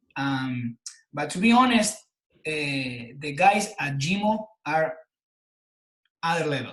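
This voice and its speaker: The speaker has an Argentine accent. The intonation is lively. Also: man. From Argentina. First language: Spanish. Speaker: personal trainer and health coach. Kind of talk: interview. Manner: halting, repeats words.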